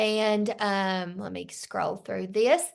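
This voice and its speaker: At a very slow pace, a woman with a Southern US accent talks over a quiet background. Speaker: sales team leader. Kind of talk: team training meeting.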